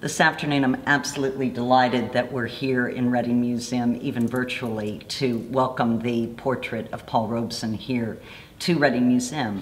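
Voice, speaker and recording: Over noticeable background noise, the speaker talks at a moderate pace with an American accent. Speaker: community speaker. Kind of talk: speech at unveiling.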